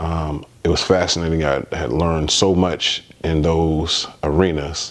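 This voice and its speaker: Amid noticeable background noise, a man with a very deep, low pitch speaks in an American accent with a monotone, flat intonation. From US Midwest, Detroit. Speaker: spiritual vlogger. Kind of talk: personal testimony. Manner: halting, many fillers.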